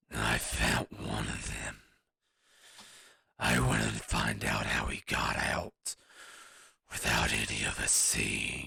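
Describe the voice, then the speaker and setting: Speaking at a fairly slow pace with long, frequent pauses, a man puts on a raspy character voice pitched very deep and low. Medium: actual play. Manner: blunt, gruff.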